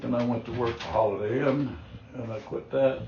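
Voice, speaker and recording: With an American accent, a man talks in a mid-range pitch. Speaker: Vietnam war veteran. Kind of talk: interview answer.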